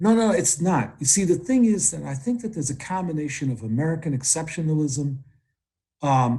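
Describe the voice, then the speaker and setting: This man's voice is fairly high and somewhat breathy, with lively intonation. He speaks at a moderate pace. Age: 60s. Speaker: activist and trade unionist. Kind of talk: political interview.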